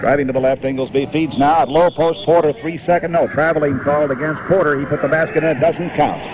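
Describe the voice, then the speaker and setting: A man's fairly high voice, with ordinary pitch variation, is heard over noticeable background noise. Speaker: radio sports announcer. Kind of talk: live basketball radio play-by-play. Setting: vintage radio broadcast from a stadium. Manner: quick, clipped game-action calling.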